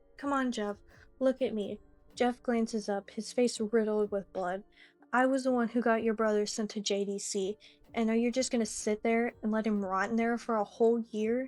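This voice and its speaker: Over music in the background, a woman speaks at a moderate pace in a fairly high pitch with monotone, flat intonation. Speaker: story narrator. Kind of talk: horror story narration.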